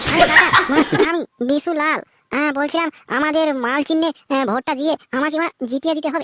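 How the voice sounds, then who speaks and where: This is a cartoonish character voice with a high pitch. It moves at a fairly quick pace. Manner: wheedling, cheeky, foul-mouthed.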